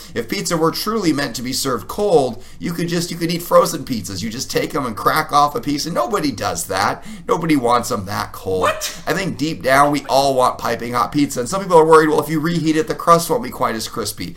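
A man talks at a fairly quick pace, his pitch swinging very widely. Background noise is noticeable. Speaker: podcast co-host and public speaker. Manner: witty, bantering.

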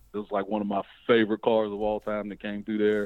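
This is a man speaking in a Southern US accent. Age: young. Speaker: drag racer and race promoter. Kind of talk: interview. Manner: casual.

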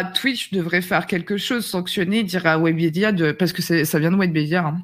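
A woman speaks in a plain, everyday voice at medium pitch and a moderate pace, with ordinary pitch variation. The recording is very clean, with a silent background. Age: 30s. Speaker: streamer. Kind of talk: casual chat.

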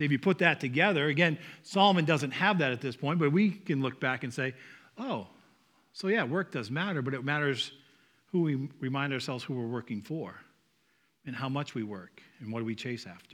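Lively intonation and a fairly quick pace mark this speaker with a Northeastern US accent, broken by long, frequent pauses in a very clean recording over a silent background. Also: man, fairly high pitch for a man. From US Northeast. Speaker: pastor or church speaker. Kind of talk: sermon. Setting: church. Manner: informal, joking.

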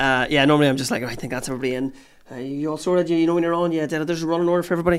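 A man with a Northern Irish accent speaks at a very fast pace and a fairly high pitch, with ordinary pitch variation, in a very clean recording with a silent background. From Northern Ireland, Newry area. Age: 30s. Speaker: comedian. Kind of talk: casual chat. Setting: studio.

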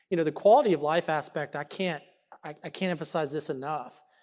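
Talking at a fairly quick pace, a man speaks with a Texan accent. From Dallas, Texas. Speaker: economic development executive. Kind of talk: panel discussion. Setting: stage with audience.

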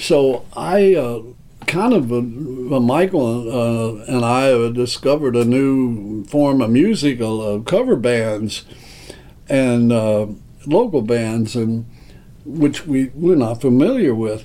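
A man at medium pitch talks very slowly with ordinary pitch variation. Audible room echo and noticeable background noise fill the recording. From Kentucky, Owensboro. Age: 70s. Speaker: music venue owner. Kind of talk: interview. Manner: halting.

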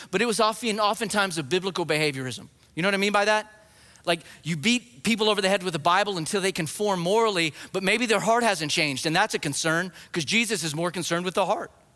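A man talks very fast in a raised, projected voice, high-pitched with a bright, sharp tone and ordinary pitch variation. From New Mexico. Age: 40s. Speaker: guest preacher and biblical counselor. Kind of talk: sermon. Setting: church with congregation.

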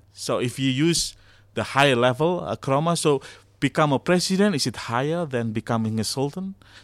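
Speaking at a fairly quick pace, a man uses lively intonation in an Indonesian accent. His pitch is fairly high. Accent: Javanese-accented English. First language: Javanese. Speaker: academic. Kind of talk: interview discussion. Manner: halting.

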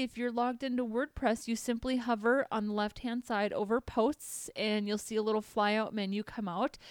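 The voice comes with a Minnesotan accent. It's a very clean recording with a silent background and a dry, close sound with no echo. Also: woman. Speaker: podcast host, web developer. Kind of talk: tutorial.

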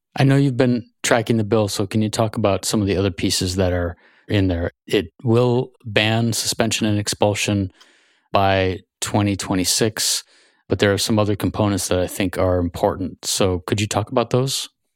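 A man's fairly low, unremarkable speaking voice at a moderate pace, fairly even in intonation, dry and close with no echo on a very clean recording with a silent background. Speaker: podcast host. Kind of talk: interview. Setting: studio.

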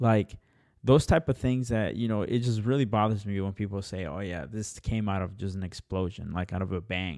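Using an ordinary speaking voice, a man talks at a fairly low pitch and moderate pace. His pitch varies in an ordinary way, in a very clean recording with a silent background. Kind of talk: casual chat.

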